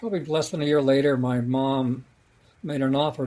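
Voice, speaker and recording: With an American accent, a man speaks at a fairly quick pace in a fairly high, dark and mellow voice with fairly even intonation. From Colorado, US. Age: 70s. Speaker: author and playwright. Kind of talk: podcast interview. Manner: halting.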